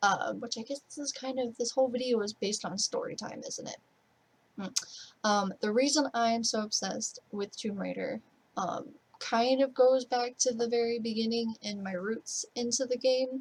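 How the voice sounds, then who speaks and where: A woman speaks quietly, with fairly even intonation. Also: fairly high pitch for a woman, moderate pace. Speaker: gaming streamer. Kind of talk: casual Q&A vlog. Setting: bedroom at parents' home, night. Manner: kept quiet, low-key; rambling.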